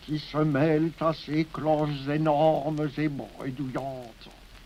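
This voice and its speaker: A man's fairly high voice, monotone and flat, at a very slow pace. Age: 80s+. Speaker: poet. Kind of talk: poetry reading. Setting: archival recording from 1950.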